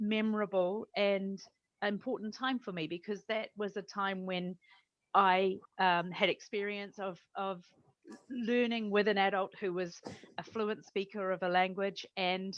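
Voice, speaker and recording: A woman with a New Zealand accent speaks at medium pitch in a monotone, flat intonation. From New Zealand, Taranaki. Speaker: language teaching academic. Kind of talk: interview.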